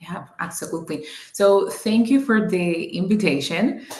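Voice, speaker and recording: A woman with a Spanish accent and lively intonation, amid noticeable background noise and audible room echo. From Cuba. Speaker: business owner and coach. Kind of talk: interview. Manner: hesitant, many ums.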